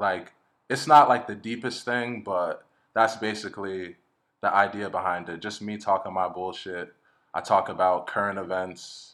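A man speaks in an ordinary speaking voice at a moderate pace, his pitch fairly low and his intonation fairly even. His loudness swings widely, and the recording is very clean with a silent background. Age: 20s. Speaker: podcaster and musician. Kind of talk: casual chat.

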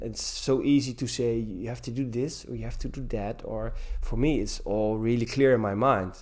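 Audible room echo surrounds this recording. A man speaks at a moderate pace. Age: 40s. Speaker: gym teacher. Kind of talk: interview. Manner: halting. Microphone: poor sound quality in places.

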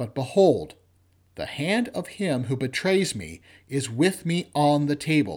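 In a very clean recording with a silent background, a man with a plain, everyday voice speaks at a fairly slow pace, his pitch fairly high with ordinary variation. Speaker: lector leading vespers. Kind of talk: liturgical scripture reading at vespers. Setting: church. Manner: formal, measured, reverent.

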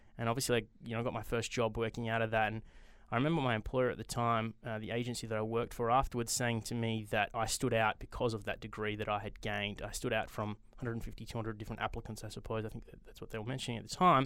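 On a very clean recording with a silent background, a man with an Australian accent talks at a very fast pace, his medium-pitched voice monotone and flat. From Australia, Perth. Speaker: venture capital investor. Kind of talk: interview.

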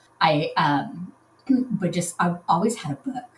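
A woman's voice at a moderate pace, lively in intonation, over noticeable background noise. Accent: American. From Southern California. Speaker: romance novelist. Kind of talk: casual chat.

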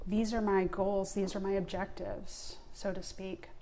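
A woman with a dark, mellow tone speaks at a medium pitch and moderate pace, her intonation fairly even. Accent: American. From Long Island, New York. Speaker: solopreneur, podcast guest. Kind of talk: casual conversational interview.

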